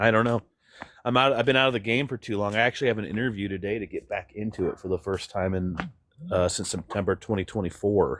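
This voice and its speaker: The talking moves at a very fast pace with ordinary pitch variation. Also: man, fairly low pitch for a man. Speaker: guest, audio-visual technician. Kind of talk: casual chat.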